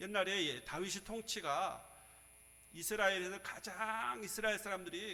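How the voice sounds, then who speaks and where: Raised, projected male voice, high-pitched for a man, with ordinary pitch variation at a moderate pace. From Seoul. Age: 60s. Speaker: pastor. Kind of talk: sermon.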